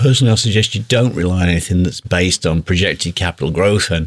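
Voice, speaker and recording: With a British accent, a man talks at a fairly quick pace in a very deep, low pitch with ordinary pitch variation, recorded very cleanly against a silent background with a dry, close sound and no echo. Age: 50s. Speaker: podcast host and guitar teacher. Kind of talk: solo podcast monologue. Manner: animated.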